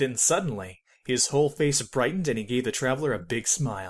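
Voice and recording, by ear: Ordinary pitch variation and a moderate pace from a man at a medium pitch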